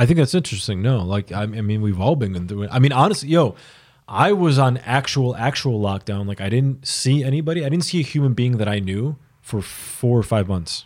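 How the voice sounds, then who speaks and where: A man speaks in a plain, everyday voice at a medium pitch. He goes at a fairly quick pace with lively intonation. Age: 30s. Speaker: music artist manager. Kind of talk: casual chat.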